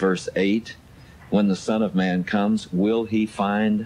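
Light background noise sits under a man speaking at a fairly low pitch and a fairly slow pace. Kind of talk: radio talk show discussion. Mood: earnest, explanatory. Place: studio.

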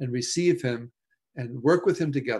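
Lively intonation at a moderate pace over a quiet background. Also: man. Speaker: presenter. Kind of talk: lecture. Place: home room. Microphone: video call.

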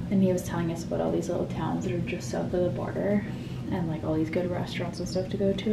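A woman's voice with music in the background. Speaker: travel vlogger. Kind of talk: casual vlog chat. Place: home room. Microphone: phone near.

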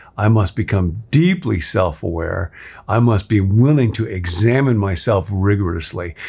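A man speaks at a moderate pace in a fairly low, somewhat breathy voice. His tone is dark and mellow, with lively intonation. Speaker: pastor teaching a class. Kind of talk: devotional teaching talk. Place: home room. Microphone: phone near.

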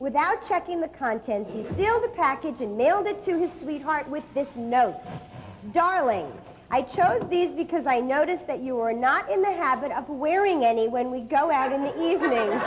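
A woman speaks at a high pitch with very wide pitch swings. Light background noise runs underneath. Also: moderate pace. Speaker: comedy cooking show co-host. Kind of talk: comedy cooking show. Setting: studio with audience. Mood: playful, building to punchline. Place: studio.

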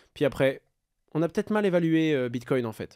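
A man talks fairly quickly in a very clean recording over a silent background. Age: 20s. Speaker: crypto content creator and entrepreneur. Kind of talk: casual interview.

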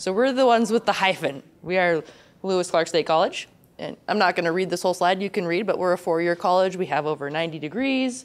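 A woman talks very fast at a medium pitch with ordinary pitch variation. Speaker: instructional designer, conference presenter; conference presenter. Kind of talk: conference presentation. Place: hall. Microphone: handheld.

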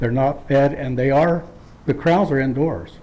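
His speech moves at a moderate pace. The pitch rises and falls in an ordinary way. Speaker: public commenter at hearing. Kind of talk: public hearing statement. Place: hall. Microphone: podium.

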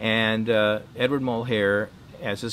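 A man speaks in a bright, sharp tone. Light background noise can be heard. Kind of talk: anecdotal interview monologue. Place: garden.

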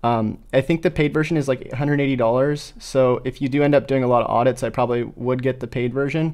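This man's pace is fairly quick. His intonation doesn't vary much. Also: quiet background. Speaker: SEO tutor. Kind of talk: tutorial. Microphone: studio mic.

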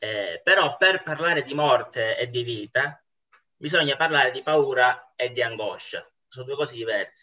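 A man with a bright, sharp tone, moderate pace and ordinary pitch variation, against a quiet background. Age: 20s. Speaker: university student, former pastry chef; guest. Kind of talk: philosophical dialogue. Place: home room. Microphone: video call.

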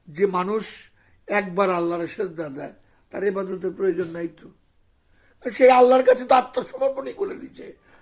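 A man's voice with big swings in loudness. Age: 50s. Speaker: Sufi spiritual teacher. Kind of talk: religious sermon.

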